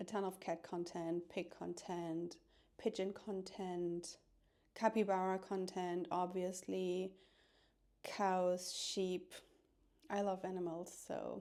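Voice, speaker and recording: A woman talks at a very slow pace with long, frequent pauses, in a dark, mellow tone and monotone, flat intonation. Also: medium pitch for a woman. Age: 40s. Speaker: vlogger. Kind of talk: casual vlog talk to camera. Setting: at home. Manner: soft-spoken.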